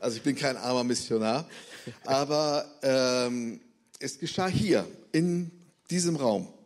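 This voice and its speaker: Over audible room echo, a man with a fairly high pitch speaks very slowly, leaving long, frequent pauses. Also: ordinary pitch variation. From Bremen, northern Germany. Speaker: missionary. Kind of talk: testimony. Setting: church service.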